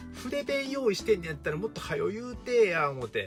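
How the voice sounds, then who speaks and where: Music plays in the background as a man speaks in a relaxed tone with an Osaka accent. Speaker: teacher. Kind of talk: casual storytelling to camera. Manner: relaxed, humorous.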